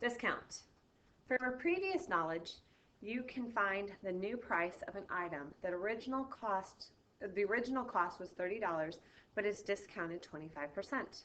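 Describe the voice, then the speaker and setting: With a normal speaking voice, a woman talks at medium pitch and a moderate pace, using lively intonation. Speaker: math teacher. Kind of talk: recorded video lesson.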